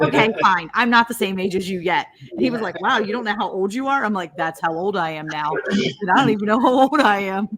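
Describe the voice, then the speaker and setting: Fairly quick, lively speech with hardly any pauses, over noticeable background noise. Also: woman, medium pitch for a woman. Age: 40s. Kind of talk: casual chat.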